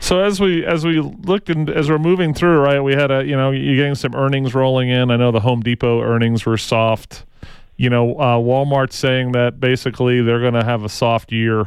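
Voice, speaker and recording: This man has a plain, everyday voice. His loudness stays very even, and his pitch varies in an ordinary way. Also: medium pitch for a man. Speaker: radio host. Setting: studio, with callers on the phone. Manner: fast, upbeat and ad-libbed, tripping over words ("Man, I went too fast").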